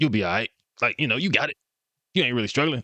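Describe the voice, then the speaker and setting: Using a put-on character voice, a man speaks at a very fast pace. His intonation is lively and his pitch medium. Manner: dismissive, gruff.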